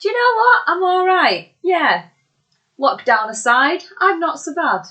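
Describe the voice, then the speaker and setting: The voice moves through very wide pitch swings at a fairly slow pace. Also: woman, extremely high pitch for a woman. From Bolton, northern England. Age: 30s. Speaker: musician and wrestling ring announcer. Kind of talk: casual interview chat. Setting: socially distanced in-person recording.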